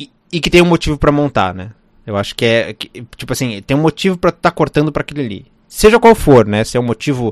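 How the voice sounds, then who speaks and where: At a very fast pace, a man with a fairly high pitch swings very widely in pitch and shows big swings in loudness. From Rio Grande do Sul, Brazil. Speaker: film editor. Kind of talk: interview. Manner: halting, many fillers and repetitions.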